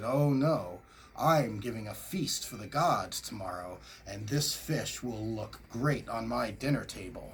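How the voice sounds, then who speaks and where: A man performs a put-on character voice at a medium pitch. He talks fairly slowly over clear background noise. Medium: read story.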